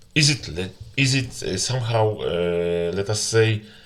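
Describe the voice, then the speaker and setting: A man with a Polish accent, fairly low in pitch and bright and sharp in tone, at a very slow pace with lively intonation. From Poland. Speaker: gamer. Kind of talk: complaint commentary. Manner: halting.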